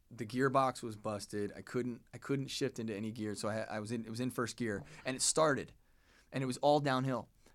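A man's unremarkable speaking voice at medium pitch, with fairly even intonation. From US, moved around. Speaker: actor. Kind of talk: casual chat. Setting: studio.

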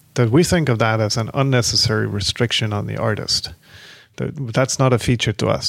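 A man with vocal fry speaks at a medium pitch and a fairly quick pace in a very clean recording with a silent background. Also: ordinary pitch variation. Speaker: tech entrepreneur and startup co-founder. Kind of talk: interview.

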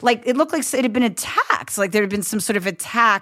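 Her delivery is fairly quick, with a woman's bright, sharp, animated tone and lively intonation. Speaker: comedian. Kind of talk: casual conversation.

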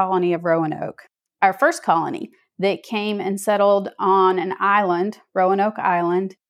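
A woman with a Southern US accent talks at a moderate pace. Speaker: author. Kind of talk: interview.

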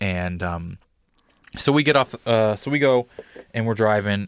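Recorded very cleanly against a silent background, the sound is dry and close with no echo. A man with an unremarkable speaking voice talks at a moderate pace in a fairly low pitch, with ordinary pitch variation. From Missouri, US Midwest. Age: 30s. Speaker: comedy podcast host. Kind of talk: casual chat.

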